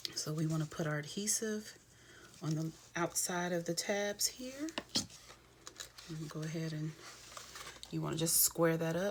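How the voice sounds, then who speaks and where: A woman speaks at a moderate pace in a fairly low voice with ordinary pitch variation, leaving long, frequent pauses. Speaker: craft demonstrator. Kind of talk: tutorial. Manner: casual, friendly.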